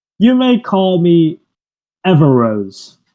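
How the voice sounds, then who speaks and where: In a put-on character voice, a man speaks high-pitched, hissing and cackling. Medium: actual play. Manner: cackling, hissing, sly.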